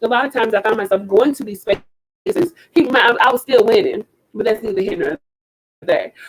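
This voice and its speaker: Loud and animated, the voice swings very widely in pitch, with a dry, close sound and no echo. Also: woman. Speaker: slam poet. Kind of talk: talk to an online audience.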